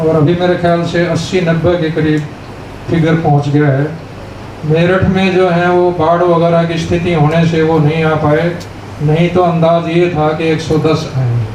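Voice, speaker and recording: In a room with audible echo and noticeable background noise, a high-pitched man speaks in a flat monotone at a very even loudness. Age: 80s+. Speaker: army veteran. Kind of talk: speech at reunion event.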